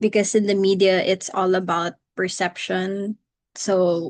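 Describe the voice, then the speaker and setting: A woman's medium-pitched voice in monotone, flat intonation, dry and close with no echo, over a quiet background. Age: 20s. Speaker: communications officer, university alumna. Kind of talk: interview.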